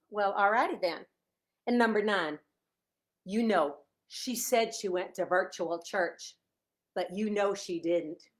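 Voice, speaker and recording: Speaking in a Chicago accent, a woman with a medium pitch and ordinary pitch variation sounds animated at a fairly slow pace, with long, frequent pauses, on a very clean recording with a silent background. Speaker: author. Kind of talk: casual live stream chat. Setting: Facebook live video at home.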